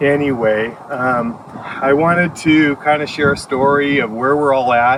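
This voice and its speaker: This man has a fairly high pitch and speaks at a fairly slow pace with fairly even intonation and very even loudness. Noticeable background noise is present. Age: 60s. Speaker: farm owner. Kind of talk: personal testimony. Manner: halting, many fillers.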